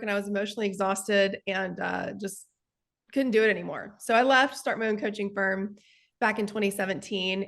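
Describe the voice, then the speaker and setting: Against a quiet background, a woman with a strong Texas accent talks at a fairly quick pace in a medium pitch with fairly even intonation. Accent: thick Texas. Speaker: sales coach and real estate investor. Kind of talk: interview.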